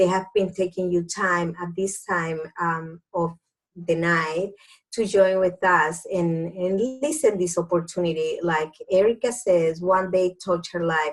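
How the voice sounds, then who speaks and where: Fairly slow delivery with fairly even intonation. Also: woman, fairly low pitch for a woman. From Dominican Republic. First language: Spanish. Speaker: doctor turned network marketing entrepreneur. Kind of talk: business opportunity presentation. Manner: halting.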